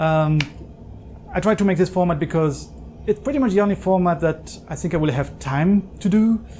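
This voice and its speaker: The speaker talks at a moderate pace with a French accent. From southern France. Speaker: home cook video creator. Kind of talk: cooking tutorial. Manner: casual, conversational.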